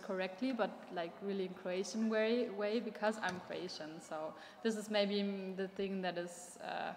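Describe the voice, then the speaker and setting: With audible room echo, a woman speaks fairly slowly at medium pitch, her intonation fairly even. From Germany. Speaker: exchange student and co-presenter. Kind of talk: interview testimony.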